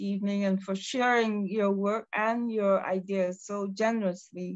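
Very slow speech from a woman, fairly even in intonation, over a quiet background. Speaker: museum director; host or panel member. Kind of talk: formal welcome remarks. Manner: formal. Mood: warm, appreciative. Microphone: video call.

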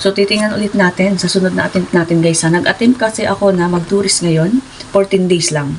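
With noticeable noise in the background, a woman talks at a fairly quick pace using ordinary pitch variation. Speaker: vlogger, former overseas worker. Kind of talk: casual vlog storytelling.

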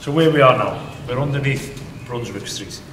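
A man's fairly even intonation and moderate pace come through noticeable background noise. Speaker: tunnel tour guide. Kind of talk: guided tour explanation. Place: tunnel cave.

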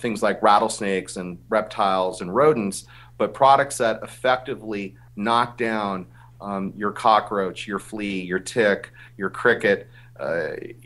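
This man has an ordinary speaking voice, fairly low in pitch, delivered at a fairly slow pace with fairly even intonation. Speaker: remote guest. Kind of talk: interview answer. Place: office. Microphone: video call.

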